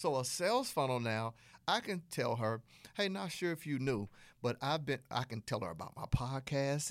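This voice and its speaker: An animated man with a Southern US accent, fairly high-pitched, talking at a fairly quick pace with lively intonation on a very clean recording with a silent background. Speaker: podcast host, business coach. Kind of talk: tutorial, podcast monologue. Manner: animated, conversational.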